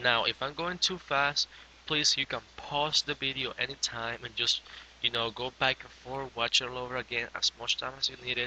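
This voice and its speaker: Speaking with a non-native accent, the voice keeps a moderate pace and fairly even intonation. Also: man, medium pitch for a man. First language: not English. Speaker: graphic design tutorial maker. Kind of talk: software tutorial. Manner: casual, hesitant with fillers.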